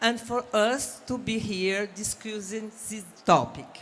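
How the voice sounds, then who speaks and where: A woman with a non-native accent at a very slow pace, fairly high in pitch with ordinary pitch variation. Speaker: panel moderator. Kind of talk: panel discussion introduction.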